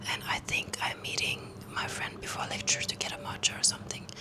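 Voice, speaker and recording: A woman is whispering at a moderate pace. Noticeable background noise runs underneath. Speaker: student vlogger. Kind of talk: casual vlog to camera. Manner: soft-spoken.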